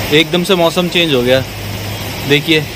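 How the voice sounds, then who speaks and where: Over noticeable background noise, a man speaks at a fairly slow pace in a dry sound with no echo. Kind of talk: casual vlog chat. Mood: excited, recounting sudden event. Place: home room. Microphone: phone near.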